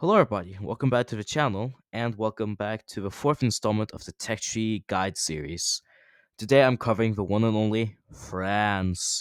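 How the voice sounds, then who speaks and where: Heard dry and close with no echo on a very clean recording with a silent background, a man speaks at a moderate pace and fairly low pitch, with ordinary pitch variation. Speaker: gaming youtuber. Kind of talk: tutorial. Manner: lots of audible breathing.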